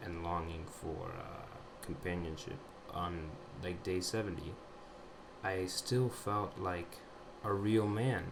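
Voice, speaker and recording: Over noticeable background noise and audible room echo, a man speaks very slowly at a very deep, low pitch, with fairly even intonation and long, frequent pauses. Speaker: vlogger sharing personal recovery journey. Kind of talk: personal testimony monologue. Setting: audio recording at home computer. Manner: halting, many fillers.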